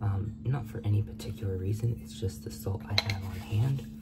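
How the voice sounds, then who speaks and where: A man talks at a fairly slow pace while music sounds behind him. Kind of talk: tutorial. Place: kitchen. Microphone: phone near.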